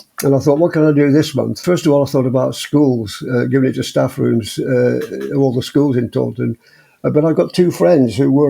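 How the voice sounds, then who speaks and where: Speaking fairly quickly, the man has an English accent. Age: 80s+. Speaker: vegan ultramarathon runner. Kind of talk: interview conversation. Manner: halting, many repetitions and fillers.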